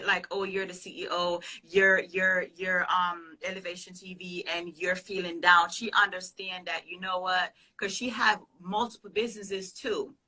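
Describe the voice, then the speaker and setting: With a Jamaican accent, a woman of medium pitch speaks at a moderate pace with a bright, sharp tone, big swings in loudness and monotone, flat intonation. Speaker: pastor and business consultant. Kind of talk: interview answer.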